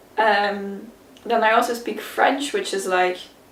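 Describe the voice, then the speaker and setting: Very slowly, a woman speaks in a room with audible echo. Noticeable background noise is also present. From Flanders, Belgium. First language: Dutch (Flemish). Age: 20s. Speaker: YouTuber. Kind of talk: casual Q&A tag video. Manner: casual, hesitant with fillers.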